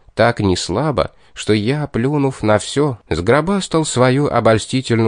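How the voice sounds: A natural reading voice with pitch that varies in an ordinary way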